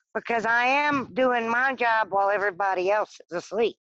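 In a normal speaking voice, a woman with an American accent talks at a moderate pace with a fairly high pitch and lively intonation, over a quiet background with a dry, close sound and no echo. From US South. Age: 40s. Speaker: newspaper deliverer. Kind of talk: casual interview chat.

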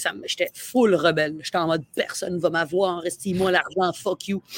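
A woman talks at a moderate pace in a Quebec accent. The sound is dry and close, with no echo. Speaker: comedian. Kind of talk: casual chat. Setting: outdoors.

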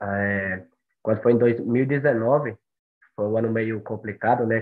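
A man talks at medium pitch with fairly even intonation. It is an ordinary speaking voice. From Brazil, Bahia (Monte Santo). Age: 20s. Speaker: long-distance runner. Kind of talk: podcast interview.

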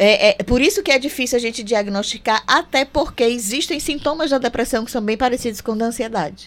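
This woman speaks at a high pitch with lively intonation. Her pace is fairly quick, with hardly any pauses. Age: 50s. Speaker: psychologist. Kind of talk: radio interview.

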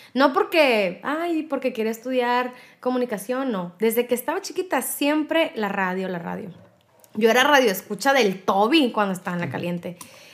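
A woman's high voice with very wide pitch swings at a moderate pace, on a very clean recording with a silent background. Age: 20s. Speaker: radio host. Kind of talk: interview.

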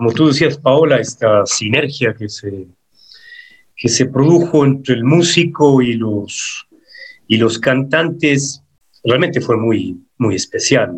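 At a very slow pace with long, frequent pauses, a man with medium pitch and a somewhat breathy voice speaks with lively intonation. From Ecuador. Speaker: singer and psychologist. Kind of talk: interview.

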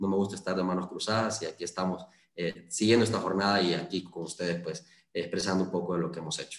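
A man speaks at a fairly quick pace with fairly low pitch. His intonation stays fairly even. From Honduras, Lempira (Valladolid). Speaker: lawyer and parliamentary candidate. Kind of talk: interview. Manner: hesitant, many fillers.

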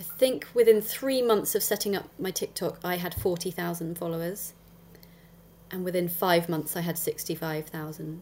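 A woman with a southern English accent, fairly low pitch, ordinary pitch variation, a moderate pace and big swings in loudness. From Dorset, southern England. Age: 40s. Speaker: affiliate marketer and content creator. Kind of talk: interview. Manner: direct, straight-talking.

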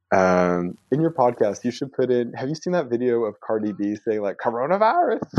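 An ordinary speaking voice from a man, medium in pitch, with lively intonation at a fairly quick pace. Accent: American. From Texas, Houston suburb. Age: 20s. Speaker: guest, language learner. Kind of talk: casual chat.

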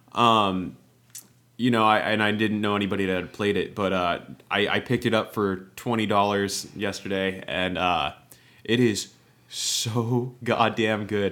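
In an ordinary speaking voice, a man talks at a fairly slow pace with fairly low pitch and fairly even intonation. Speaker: podcast co-host. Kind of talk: casual chat. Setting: remote recording.

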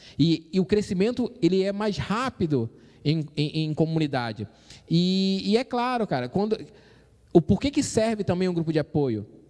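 In a Brazilian accent, a man talks at a moderate pace in a high pitch with an animated tone. His pitch swings very widely. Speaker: church youth podcast host. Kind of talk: casual chat. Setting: live stream.

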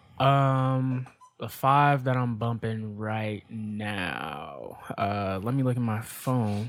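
A man speaks very slowly, with background noise clearly noticeable. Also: medium pitch for a man, ordinary pitch variation. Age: 20s. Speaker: podcast guest, host's brother. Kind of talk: casual chat.

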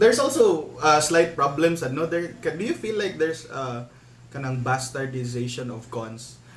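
A man's fairly high voice at a moderate pace, with lively intonation and big swings in loudness, plus noticeable background noise and audible room echo. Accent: Visayan Filipino. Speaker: podcast guest. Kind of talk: casual chat.

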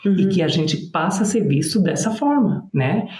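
Over noticeable background noise and audible room echo, a man with a high pitch speaks at a moderate pace with lively intonation. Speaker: public relations and personal brand strategist. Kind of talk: casual interview chat.

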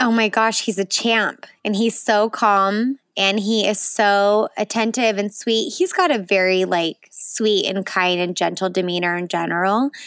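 Speaking with an American accent, a woman has an unremarkable speaking voice at a medium pitch, fairly slow and fairly even in intonation. The recording is very clean, with a silent background. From Utah, Salt Lake City. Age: 20s. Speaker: photographer and new mother. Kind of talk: personal birth story interview.

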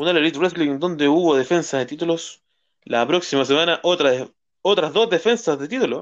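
A man talks at a fairly quick pace over a quiet background, his pitch fairly high with ordinary variation. His is a plain, everyday voice. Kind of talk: wrestling results recap read aloud, blow-by-blow match summary. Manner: brisk, even, rattling off moves and match outcomes, some stumbles and repeats.

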